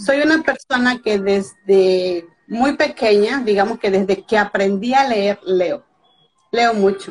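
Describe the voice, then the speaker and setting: A woman speaks very slowly at a fairly high pitch with ordinary pitch variation. Her loudness swings widely. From Veracruz, Mexico. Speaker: author. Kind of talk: casual chat. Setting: Instagram live video.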